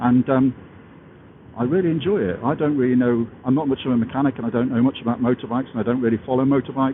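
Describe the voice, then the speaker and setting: With an English accent, a man talks very fast at a medium pitch. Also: ordinary pitch variation, very even loudness. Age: 60s. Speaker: motorcycle vlogger. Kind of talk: casual vlog monologue. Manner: halting, many fillers.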